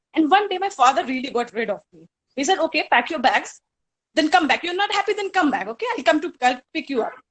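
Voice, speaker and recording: Speaking very fast in an Indian accent, a woman with a high pitch shows very wide pitch swings and big swings in loudness. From India, Hardoi, Uttar Pradesh. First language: Hindi. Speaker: college alumna speaker. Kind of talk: reminiscing speech.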